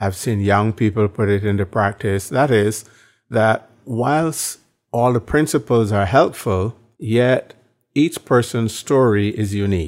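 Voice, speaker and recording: On a very clean recording with a silent background, a man speaks fairly slowly at a fairly low pitch with ordinary pitch variation. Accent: Barbadian. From Barbados. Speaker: evangelism trainer and minister. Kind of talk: interview.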